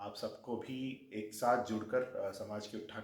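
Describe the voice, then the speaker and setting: A man with a Telangana accent sounds somewhat breathy, with audible room echo. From Andhra Pradesh/Telangana, Telugu-speaking. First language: Telugu (speaking Hindi). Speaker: government official. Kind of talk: casual interview.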